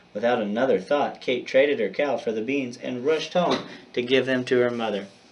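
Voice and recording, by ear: Reading aloud in a natural voice, the speaker lets the pitch shift in an ordinary manner.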